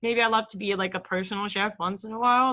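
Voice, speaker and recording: With a slight non-native accent, a woman talks at a fairly quick pace in a bright, sharp tone over a quiet background. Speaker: online entrepreneur, vlogger. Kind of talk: casual livestream talk. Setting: live stream on camera. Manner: hesitant, many fillers.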